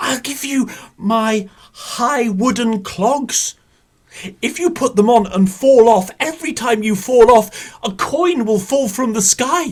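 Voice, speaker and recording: The pitch sits fairly high in a put-on character voice. Delivery is at a fairly slow pace. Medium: read story. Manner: greedy, bargaining.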